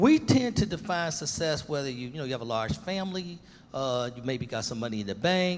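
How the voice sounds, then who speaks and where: Over music in the background, a man with a fairly high pitch talks in an animated tone, his voice making very wide pitch swings. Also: fairly quick pace. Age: 70s. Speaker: pastor and panelist. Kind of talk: panel discussion.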